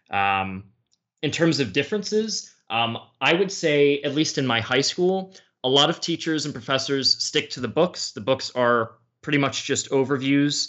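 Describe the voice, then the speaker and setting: A man with an American accent and a plain, everyday voice speaks at a fairly slow pace, his fairly high pitch carrying lively intonation. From United States. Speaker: history YouTuber. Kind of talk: casual chat.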